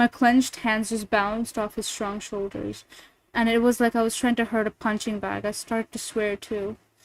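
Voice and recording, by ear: Someone reads aloud in a natural voice.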